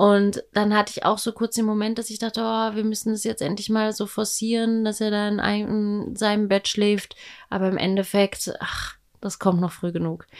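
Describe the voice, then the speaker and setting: A fairly high female voice, monotone and flat, at a moderate pace. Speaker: podcast co-host, mother. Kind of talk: casual chat.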